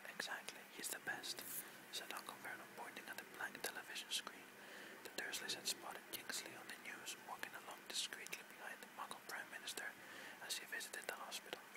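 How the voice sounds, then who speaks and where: A man's soothing whisper at a fairly quick pace amid noticeable background noise. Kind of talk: whispered audiobook-style reading of a novel chapter, relaxation. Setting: rain and thunder background sounds. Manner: whispered, soothing; makes occasional reading mistakes.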